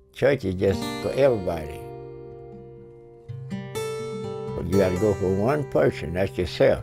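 With music in the background, a man with a very deep, low pitch speaks at a fairly slow pace, his pitch swinging very widely between long, frequent pauses. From United States. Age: 80s+. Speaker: war veteran. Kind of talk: documentary interview answer.

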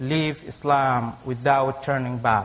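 Someone with a non-native accent talks at a very slow pace with ordinary pitch variation. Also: man. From Africa. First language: not English. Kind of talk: personal testimony in a debate. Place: church. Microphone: lapel.

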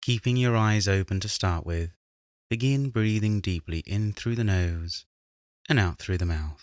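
The speaker talks at a fairly slow pace with a British accent and ordinary pitch variation. The sound is dry and close with no echo, in a very clean recording over a silent background. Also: man, fairly low pitch for a man. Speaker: meditation guide. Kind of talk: guided meditation. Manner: calm, slow.

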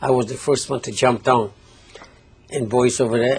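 A man's voice over light background noise. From Poland. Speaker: Holocaust survivor; interviewee. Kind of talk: testimony. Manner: halting. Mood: reflective, earnest. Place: studio. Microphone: lapel.

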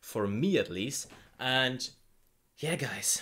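A man speaks at a very slow pace. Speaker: reaction video creator. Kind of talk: casual vlog chat. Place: home room. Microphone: studio mic.

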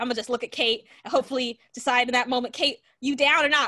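A woman speaks at a very fast pace in a raised, projected voice, her pitch high and her tone bright, sharp and animated against a quiet background. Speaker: educator and author, show host. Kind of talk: casual chat. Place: home room. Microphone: video call.

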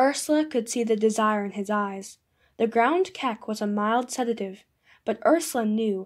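Pitch shifts in an ordinary way through this plain reading aloud. Nothing else can be heard behind it.

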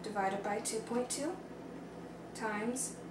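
A woman at a very slow pace with ordinary pitch variation, plus noticeable background noise. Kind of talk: tutorial. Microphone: camera far.

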